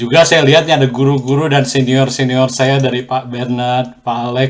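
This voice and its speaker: Monotone, flat intonation from a man at medium pitch, moving at a moderate pace. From Indonesia, then Australia. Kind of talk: testimony. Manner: hesitant, with filler sounds.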